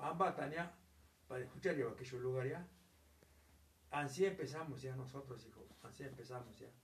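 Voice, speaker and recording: A man at medium pitch, somewhat breathy, at a fairly quick pace with long, frequent pauses, ordinary pitch variation, big swings in loudness and audible room echo. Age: 70s. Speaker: grandparent telling family history. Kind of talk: casual chat.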